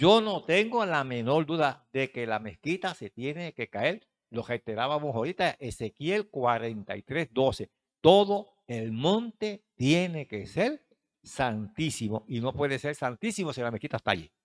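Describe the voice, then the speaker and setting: Animated in tone, a man speaks at a fairly slow pace and a fairly high pitch with very wide pitch swings, the sound dry and close with no echo in a very clean recording with a silent background. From Puerto Rico, Mata de Plátano. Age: old. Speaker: Bible teacher. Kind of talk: Bible study lecture.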